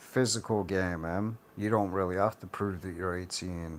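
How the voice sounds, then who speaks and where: Monotone and flat in intonation, the speaker talks with a British accent. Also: man. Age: adult. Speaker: YouTuber. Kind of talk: rant.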